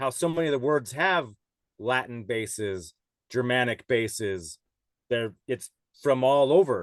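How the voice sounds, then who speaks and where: A man with a Western US accent speaks at a medium pitch with lively intonation. His pauses are long and frequent. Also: fairly slow pace, quiet background. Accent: American (Western US). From Utah, US (Salt Lake City). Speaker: podcast guest. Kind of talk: casual chat.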